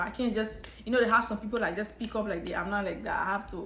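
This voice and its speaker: In an American accent, a woman with medium pitch speaks amid audible room echo. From Liberia. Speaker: YouTuber, nursing student. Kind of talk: casual story time vlog. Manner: conversational with frequent fillers and restarts.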